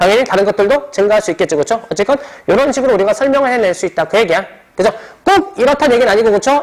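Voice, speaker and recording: Noticeable background noise fills the recording. The talking goes by at a very fast pace. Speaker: high school science teacher. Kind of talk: lecture.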